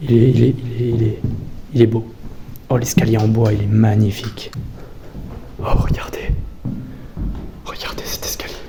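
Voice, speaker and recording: Long, frequent pauses break up fairly slow speech, heard against noticeable background noise. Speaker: urbex youtuber. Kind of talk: casual vlog narration. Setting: abandoned château.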